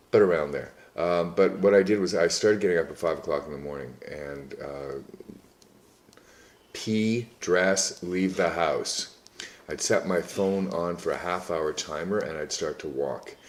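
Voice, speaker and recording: A man speaks at a fairly slow pace in a very deep, low voice, with long, frequent pauses and big swings in loudness. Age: 60s. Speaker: personal trainer. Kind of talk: casual interview. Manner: halting, many fillers.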